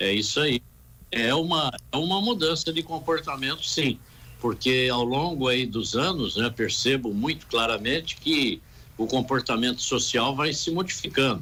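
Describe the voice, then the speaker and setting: With a bright, sharp tone and very even loudness, a man of medium pitch speaks fairly slowly, using ordinary pitch variation. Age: 70s. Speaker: real estate council president. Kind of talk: radio interview.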